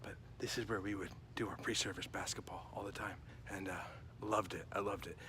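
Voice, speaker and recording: A man talks at a very fast pace amid audible room echo. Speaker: vlogger and wedding officiant, former youth minister. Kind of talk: casual vlog chat.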